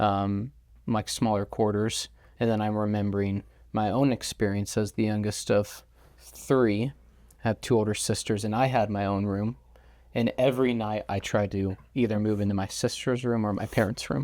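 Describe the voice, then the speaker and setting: A man's fairly low, normal speaking voice, with fairly even intonation at a moderate pace in an American accent. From California, Silicon Valley. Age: 30s. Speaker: financial adviser. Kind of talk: casual chat.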